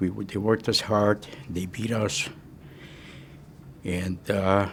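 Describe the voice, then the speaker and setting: Noticeable background noise sits under a man's fairly low voice. He talks at a very slow pace in a monotone, with flat intonation. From Czechoslovakia (Munkac, Carpathian Ruthenia). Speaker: Holocaust survivor. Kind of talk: testimony. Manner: halting.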